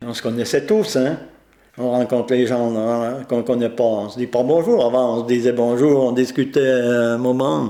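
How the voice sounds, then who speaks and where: A man's dark, mellow tone at medium pitch, with fairly even intonation and a fairly slow pace. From Châbons, Isère, France. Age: 90s. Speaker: elderly villager. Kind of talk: interview testimony.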